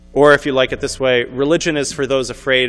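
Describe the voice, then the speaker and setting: A man with an American accent at a very fast pace. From New York. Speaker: author and spiritual teacher. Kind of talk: lecture. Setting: synagogue event with audience.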